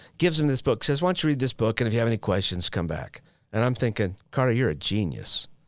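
A man speaks very fast in an American accent with lively intonation. Vocal fry runs through his voice. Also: medium pitch for a man, very clean recording, silent background. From Utah. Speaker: person in long-term addiction recovery, known in the recovery field. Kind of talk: personal recovery testimony. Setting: studio.

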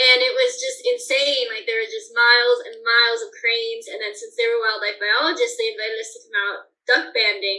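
The speaker has an American accent and a fairly quick pace. Loudness swings widely throughout. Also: woman. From Colorado mountains. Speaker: bird banding researcher. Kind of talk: interview.

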